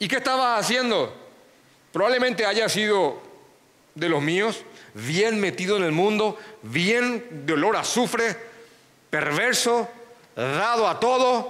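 With audible room echo and noticeable background noise, a man speaks at a high pitch and very slow pace, with long, frequent pauses and very even loudness. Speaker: pastor. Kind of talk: sermon.

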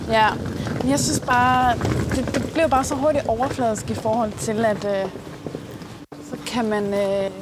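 Amid noticeable background noise and audible room echo, a woman talks very slowly at medium pitch. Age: 30s. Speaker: date interviewee. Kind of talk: casual chat.

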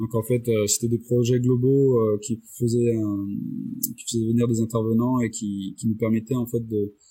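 A man with a medium-pitched voice speaks at a moderate pace in a monotone, flat intonation. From Réunion. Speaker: motion designer and director. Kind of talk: interview. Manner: hesitant, many fillers and repetitions.

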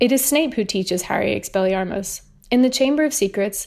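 This woman talks fairly quickly. She has a British accent. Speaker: listener. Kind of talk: recorded voicemail.

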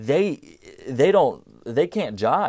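A man with an American accent talks at a fairly slow pace in a very clean recording with a silent background, the sound dry and close with no echo. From New Jersey, Cherry Hill. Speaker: amateur philosopher podcaster. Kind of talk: solo monologue. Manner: halting, filler-heavy.

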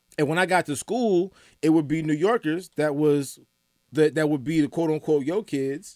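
Recorded dry and close with no echo, a man with an American accent talks in an ordinary speaking voice, his fairly high pitch showing ordinary variation. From Atlanta, US South. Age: 30s. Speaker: entertainment news editor. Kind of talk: casual chat. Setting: studio.

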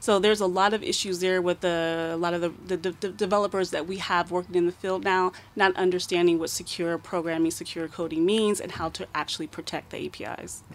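A woman with an ordinary speaking voice and fairly low pitch talks at a fairly quick pace in a fairly even intonation. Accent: American. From United States. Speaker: cybersecurity expert. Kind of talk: radio interview. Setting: radio studio.

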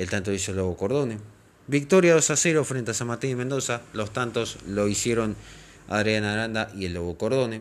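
A man with a Rioplatense accent at medium pitch, with ordinary pitch variation and a moderate pace. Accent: Argentine Rioplatense Spanish. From Argentina, Pergamino, Buenos Aires province. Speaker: football podcast host. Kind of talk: scripted narration.

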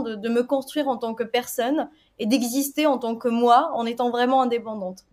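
This woman's voice sits high, with fairly even intonation. Her pace is fairly quick. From Tunisia. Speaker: software quality assurance lead. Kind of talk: interview.

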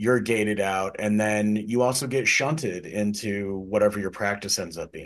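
This is an unremarkable speaking voice with ordinary pitch variation. It moves at a moderate pace against a quiet background. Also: man. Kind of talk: casual chat.

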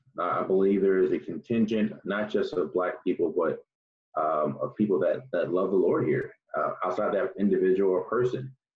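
It's a man talking at a moderate pace. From New Jersey. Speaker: church member. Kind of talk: testimony. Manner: halting.

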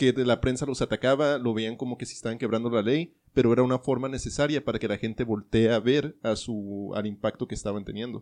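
With hardly any pauses, a man rattles along at a very fast pace in a medium pitch and fairly even intonation over a quiet background. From US (Colorado and New Mexico). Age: 20s. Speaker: podcast host. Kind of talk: casual chat.

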